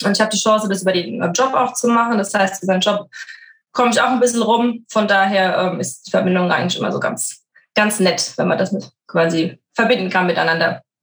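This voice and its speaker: Somewhat breathy and medium in pitch, a woman talks at a fairly quick pace with ordinary pitch variation. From Frankfurt, Germany. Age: 30s. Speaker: working mother, corporate employee. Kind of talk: podcast interview.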